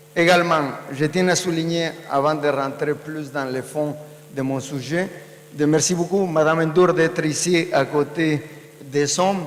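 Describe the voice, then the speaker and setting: Fairly high in pitch, a man speaks at a fairly slow pace with monotone, flat intonation, with audible room echo and noticeable background noise. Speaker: panelist, social finance network representative. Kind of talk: conference panel talk. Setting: conference stage with audience.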